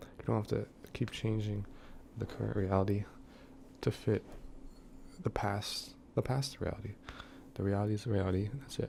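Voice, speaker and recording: A man's somewhat breathy, dark and mellow voice at a fairly low pitch, with fairly even intonation, a fairly quick pace and long, frequent pauses. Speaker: mock preacher. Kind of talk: parody sermon. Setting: room with thin walls. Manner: quiet, held-back voice; halting.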